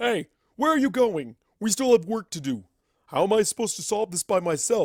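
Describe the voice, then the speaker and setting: A man's put-on character voice, high in pitch. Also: fairly quick pace, very clean recording, silent background. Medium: read story. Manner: blunt, tactless.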